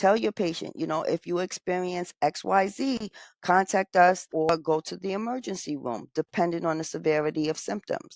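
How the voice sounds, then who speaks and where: With a plain, everyday voice, a woman speaks at a moderate pace and fairly low pitch, her intonation lively, the sound dry and close with no echo against a quiet background. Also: hardly any pauses. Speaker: nursing educator. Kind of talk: lecture.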